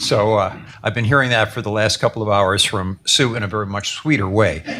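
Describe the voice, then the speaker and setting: Over noticeable background noise, a man with a fairly low pitch speaks at a moderate pace with fairly even intonation. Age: 70s. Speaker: author. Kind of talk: book launch talk.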